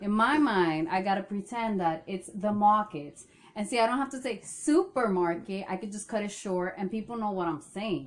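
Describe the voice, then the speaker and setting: Speaking at a moderate pace with hardly any pauses, a woman with a non-native accent uses a medium pitch and ordinary pitch variation. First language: not English. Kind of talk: casual chat.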